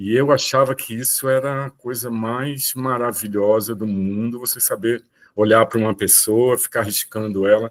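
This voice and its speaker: An unremarkable speaking voice from a man at medium pitch and moderate pace, hardly any pauses, with a dry, close sound, no echo, and a very clean recording over a silent background. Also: fairly even intonation. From Brazil, Rio de Janeiro and Olinda. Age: 60s. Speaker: visual artist. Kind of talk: talk on own career.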